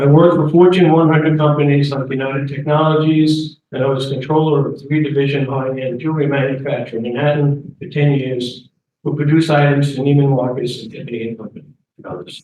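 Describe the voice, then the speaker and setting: A man with an American accent talks at a very fast pace. His intonation is fairly even, but his loudness swings widely. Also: fairly high pitch for a man. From New York, Queens and Long Island. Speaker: community board candidate. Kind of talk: campaign speech. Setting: community meeting with audience.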